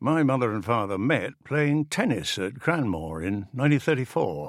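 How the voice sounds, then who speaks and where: On a very clean recording with a silent background, a man talks at a moderate pace and a medium pitch, with vocal fry and very wide pitch swings. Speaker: audiobook narrator reading a farmer's memoir. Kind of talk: scripted narration, reading a first-person life story aloud. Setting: studio. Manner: warm, reflective, gently wry storytelling.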